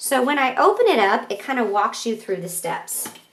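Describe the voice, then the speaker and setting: With an unremarkable speaking voice, a woman talks at a fairly slow pace and ordinary pitch variation. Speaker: art teacher. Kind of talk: tutorial.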